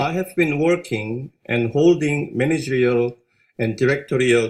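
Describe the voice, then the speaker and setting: A fairly slow delivery with a Korean accent. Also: man. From South Korea. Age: 50s. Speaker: business owner. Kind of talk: corporate presentation. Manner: halting.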